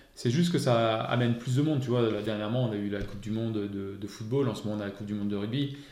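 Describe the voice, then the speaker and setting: There is an audible room echo as a man speaks very fast at a medium pitch, with ordinary pitch variation and hardly any pauses. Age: 40s. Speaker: police officer. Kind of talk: interview.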